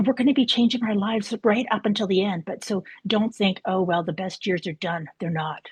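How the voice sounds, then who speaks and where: At a fairly quick pace with hardly any pauses, a woman with a medium pitch and a somewhat breathy voice speaks with ordinary pitch variation, the sound dry and close with no echo. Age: 60s. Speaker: spiritual coach. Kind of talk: online interview.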